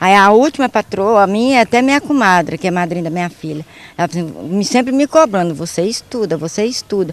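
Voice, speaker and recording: At a fairly quick pace, a woman with a medium pitch speaks with very wide pitch swings. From rural Brazil. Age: 60s. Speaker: adult literacy student. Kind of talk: interview.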